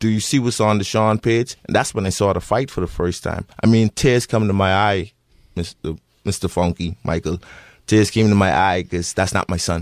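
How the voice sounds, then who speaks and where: A man speaks at a moderate pace with a Bahamian accent, a fairly low pitch and ordinary pitch variation. The sound is dry and close with no echo, in a very clean recording with a silent background. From Bahamas. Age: 30s. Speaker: bereaved father. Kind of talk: radio interview. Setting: radio studio.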